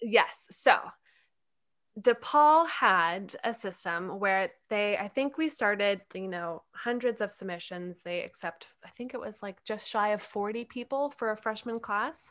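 On a very clean recording with a silent background, a woman with an unremarkable speaking voice talks fairly slowly at a fairly high pitch with lively intonation. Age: 20s. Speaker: actor and producer. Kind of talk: casual interview chat.

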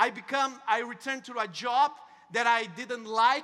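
A man's extremely high voice rings out bright and sharp, raised and projected. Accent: Portuguese. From Brazil. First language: Portuguese. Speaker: network marketing entrepreneur, motivational speaker. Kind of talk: motivational talk. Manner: halting.

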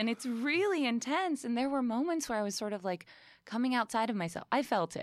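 A woman talks at a moderate pace in a normal speaking voice, pitched fairly high. Her intonation is lively, and the recording is very clean with a silent background. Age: 30s. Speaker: podcast guest. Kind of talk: casual chat.

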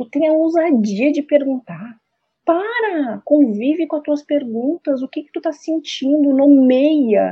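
A woman with a high pitch, lively intonation and a very slow pace. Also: big swings in loudness. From Rio Grande do Sul, Brazil. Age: 40s. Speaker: mother, homemaker. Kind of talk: casual chat.

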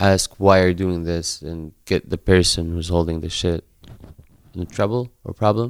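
In an Arabic accent, a man talks at a fairly slow pace with a very deep, low pitch. The recording is very clean, with a silent background. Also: dry, close sound with no echo. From Palestine, West Bank. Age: 20s. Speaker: skate charity local coordinator. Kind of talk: interview.

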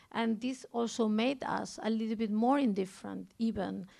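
Speaking at a moderate pace in a strong Spanish accent, a woman uses a fairly high pitch and fairly even intonation. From Spain. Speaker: art curator. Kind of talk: public conversation.

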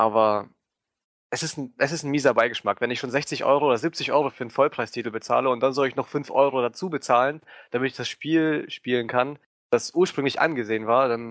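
A man's normal speaking voice at a medium pitch, fairly quick in pace, with fairly even intonation against a quiet background. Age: 20s. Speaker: gaming video editor. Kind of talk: casual chat.

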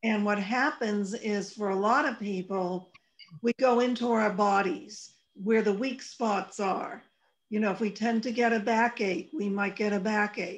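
A woman's fairly high voice, an ordinary speaking voice, fairly even in intonation and at a fairly slow pace. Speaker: radio host. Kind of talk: casual chat.

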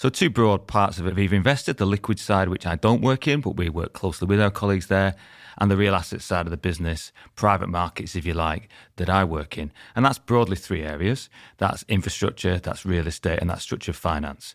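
A man with a Lancashire accent talks at a fairly quick pace in a very deep, low voice with ordinary pitch variation, and the sound is dry and close with no echo. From Lancashire, northern England (former mining town). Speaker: real estate investment executive. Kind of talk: podcast interview.

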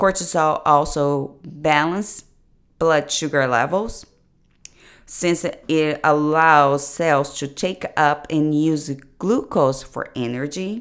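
A woman with a non-native accent speaks very slowly at a very deep, low pitch with ordinary pitch variation. The recording is very clean, with a silent background. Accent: foreign. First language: not English. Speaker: nutrition coach. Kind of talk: solo podcast monologue. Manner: hesitant, many fillers.

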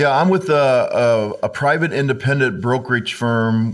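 A man with a normal speaking voice, medium pitch, ordinary pitch variation and a fairly slow pace. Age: 50s. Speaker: financial advisor. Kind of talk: casual interview chat.

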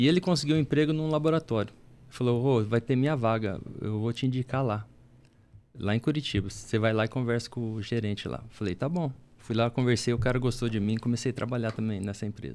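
Using an ordinary speaking voice, a man talks at a fairly quick pace in a medium pitch with ordinary pitch variation. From Paraná, Brazil. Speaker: church elder. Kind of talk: casual chat.

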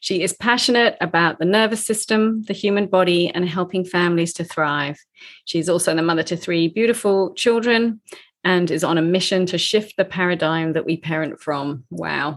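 In a plain, everyday voice, a woman speaks at a moderate pace and a fairly low pitch. Her pitch varies in an ordinary way, and the background is quiet. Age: 50s. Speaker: podcast host. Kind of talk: casual interview; scripted intro.

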